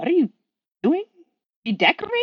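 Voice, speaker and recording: Putting on a squeaky character voice pitched extremely high, a woman speaks at a fairly quick pace. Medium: read story. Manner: dry, sardonic.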